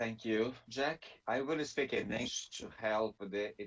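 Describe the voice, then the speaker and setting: A man talks with a Brazilian Portuguese accent. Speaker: theologian and Bible scholar. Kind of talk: webinar presentation. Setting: video call webinar. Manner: halting, with frequent fillers and restarts.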